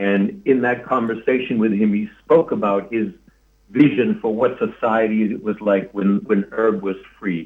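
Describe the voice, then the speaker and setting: Here a man speaks at a fairly low pitch with ordinary pitch variation. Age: 60s. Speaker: political candidate. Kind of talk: interview. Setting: live-streamed talk show. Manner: halting.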